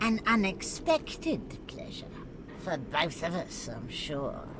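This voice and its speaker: A put-on character voice at a middle pitch moves at a fairly slow pace over loud background noise. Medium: video game. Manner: soft, honeyed.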